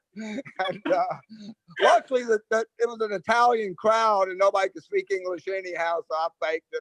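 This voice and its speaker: Recorded dry and close with no echo, a man with an Atlanta accent speaks at a high pitch. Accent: Southern US (Atlanta). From US South, Atlanta. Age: 60s. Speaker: hairdresser, salon owner. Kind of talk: casual interview chat.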